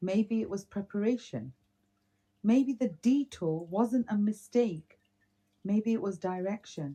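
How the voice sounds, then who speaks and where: A woman speaks very slowly in a British accent at a medium pitch. Her tone is dark and mellow and somewhat breathy. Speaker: podcast co-host. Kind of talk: reading aloud; casual chat.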